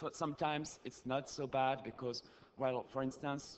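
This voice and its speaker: A man with a French accent, medium-pitched, flat and monotone in intonation, at a moderate pace. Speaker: activist, audience questioner. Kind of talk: audience question at conference. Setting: conference hall, audience microphone. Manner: halting, many fillers.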